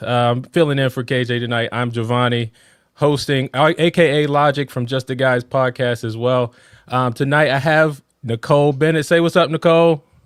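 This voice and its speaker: Recorded dry and close with no echo, a man uses a plain, everyday voice at a medium pitch, keeping a moderate pace and fairly even intonation. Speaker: fill-in podcast host. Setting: online video show.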